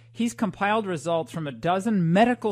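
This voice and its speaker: Her pitch swings very widely, with vocal fry throughout. The woman keeps a moderate pace. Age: 50s. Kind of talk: talk radio conversation.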